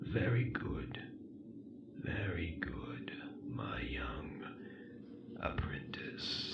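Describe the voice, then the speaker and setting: A man's strained, whispering put-on character voice at a very slow pace, full of long, frequent pauses, against loud background noise. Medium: read story. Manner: slow, commanding, condescending.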